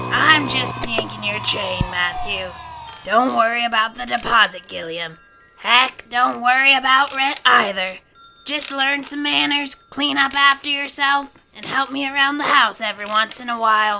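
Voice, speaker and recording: This female-sounding voice is a put-on character voice pitched high for a woman. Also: moderate pace. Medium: audio drama. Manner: blunt, crotchety.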